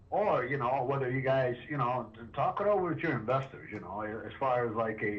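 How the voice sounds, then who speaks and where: With audible room echo and noticeable background noise, a man talks at a fairly quick pace with ordinary pitch variation. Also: medium pitch for a man. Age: 60s. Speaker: property owner. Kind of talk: phone negotiation. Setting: phone call.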